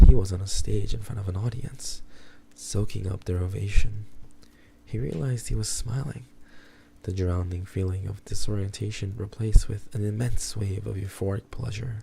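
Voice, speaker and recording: A man with a dark, mellow, somewhat breathy tone speaks at a moderate pace. His intonation is fairly even, though his loudness swings widely. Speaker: streamer. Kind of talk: horror book reading.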